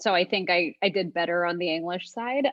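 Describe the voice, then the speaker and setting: This woman talks with lively intonation. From Montreal, Canada. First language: Bengali. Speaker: technologist. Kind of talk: casual chat.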